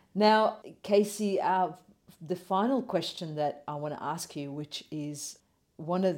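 A woman with an Australian accent at a fairly slow pace. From Australian city. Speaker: podcast host. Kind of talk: interview.

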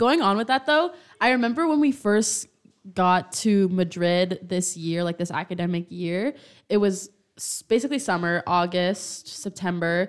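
A woman with a medium pitch talks at a moderate pace in an ordinary speaking voice with lively intonation, in a very clean recording with a silent background. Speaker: college student podcast co-host. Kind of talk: casual chat.

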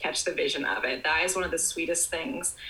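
With noticeable background noise behind her, a woman talks at medium pitch with ordinary pitch variation. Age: 20s. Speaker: dance teacher. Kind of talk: casual interview. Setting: video call.

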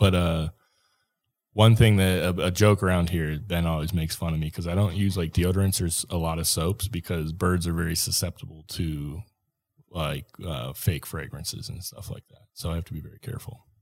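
A man speaks fairly quickly with an American accent, his pitch very deep and low with ordinary variation. The recording is very clean over a silent background. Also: big swings in loudness. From Minnesota. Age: 30s. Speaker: podcast host. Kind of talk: casual chat. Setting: studio.

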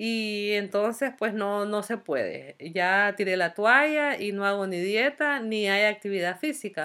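A woman with a bright, sharp tone speaks at a medium pitch and a fairly slow pace. Her pitch varies in an ordinary way on a very clean recording with a silent background. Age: 40s. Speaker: podcast host, psychology student. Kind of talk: casual monologue. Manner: hesitant, many fillers.

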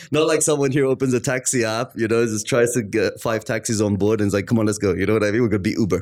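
Talking at a very fast pace with hardly any pauses, a man holds a very even loudness in an Arabic accent. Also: medium pitch for a man, ordinary pitch variation. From Australia and London, UK. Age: 30s. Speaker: marketing consultant. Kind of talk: casual interview chat.

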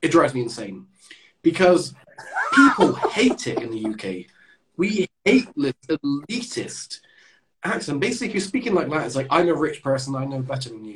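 A man speaks at a moderate pace with a fairly high pitch. His pitch swings very widely, and his loudness rises and falls sharply. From southwest England. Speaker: podcast host and English teacher. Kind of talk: casual chat.

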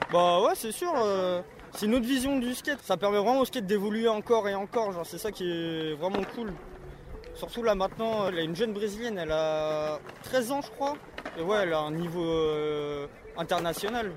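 A man's high-pitched voice with lively intonation at a moderate pace, broken by long, frequent pauses, over noticeable background noise. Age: 20s. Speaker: skateboarder. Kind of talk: casual interview. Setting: outdoors.

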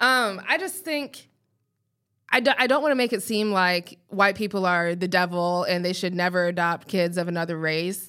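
An ordinary speaking voice from a woman, medium in pitch, with an American accent and ordinary pitch variation. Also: moderate pace. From Colorado, US. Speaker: podcast co-host. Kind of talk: casual chat.

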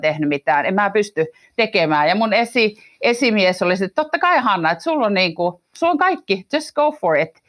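Speaking at a fairly quick pace, a woman uses a medium pitch with very wide pitch swings. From Finland. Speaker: management consultant. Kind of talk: interview. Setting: remote recording with headphones.

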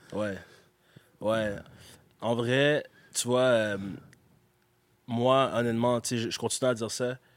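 At a very slow pace with long, frequent pauses, a man speaks at a medium pitch in monotone, flat intonation. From Quebec, Gatineau. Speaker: rapper and beatmaker. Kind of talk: interview. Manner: casual, filler-heavy.

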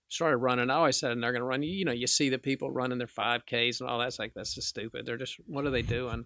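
A man at a medium pitch rushes along at a very fast pace with hardly any pauses, fairly even intonation, a bright, sharp tone and vocal fry, in a dry, close sound with no echo. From Arkansas. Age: 50s. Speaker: pawnshop owner. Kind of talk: casual chat.

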